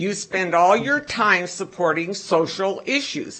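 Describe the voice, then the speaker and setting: At a medium pitch, a woman speaks very slowly. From US Midwest (Iowa). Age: 70s. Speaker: public commenter at school board meeting. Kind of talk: public comment speech. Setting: public meeting room.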